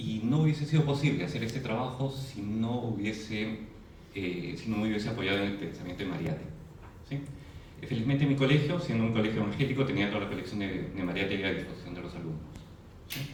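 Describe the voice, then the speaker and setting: A man at a fairly low pitch with lively intonation and a very fast pace, amid audible room echo and noticeable background noise. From Peru, Arequipa. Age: 40s. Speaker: presenter at a commemorative event. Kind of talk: presentation lecture to an audience. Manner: hesitant, frequent fillers and tag questions.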